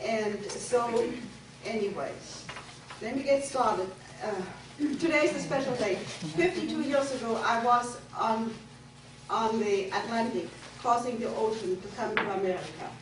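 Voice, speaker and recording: With a German accent, a woman talks at a moderate pace in a fairly high pitch with ordinary pitch variation, taking long, frequent pauses amid audible room echo and noticeable background noise. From Germany. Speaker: guest speaker telling her life story. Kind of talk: personal testimony to a group. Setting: room with live audience of women.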